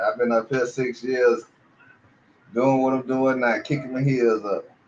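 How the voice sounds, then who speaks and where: A medium-pitched man with an American accent, with noticeable background noise. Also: long, frequent pauses. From Miami, Florida. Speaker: YouTube channel host. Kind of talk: casual chat. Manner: stammering repetitions.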